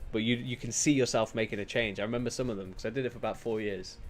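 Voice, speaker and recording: Music plays behind a man with a British accent who talks very fast at a medium pitch. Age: 20s. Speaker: streamer. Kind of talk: casual chat. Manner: animated.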